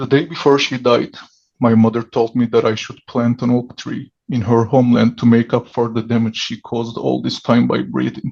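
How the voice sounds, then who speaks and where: The speaker talks at a moderate pace with a Turkish accent. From Turkey. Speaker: writer. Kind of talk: reading aloud.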